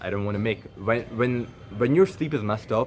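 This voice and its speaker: With lively intonation and a medium pitch, a man rattles along at a very fast pace. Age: 20s. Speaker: content creator vlogger. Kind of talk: casual vlog monologue. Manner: halting, stuttering.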